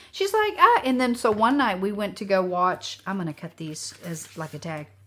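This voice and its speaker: Noticeable background noise surrounds a woman speaking in an animated tone at a fairly slow pace. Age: 60s. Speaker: craft youtuber. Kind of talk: casual chat. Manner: halting.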